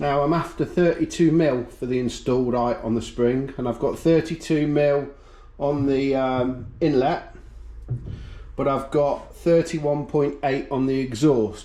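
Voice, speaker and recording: Speaking with a British accent, a man uses a fairly high pitch and a dark, mellow tone, keeping fairly even intonation at a fairly slow pace. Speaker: engine builder. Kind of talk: workshop tutorial.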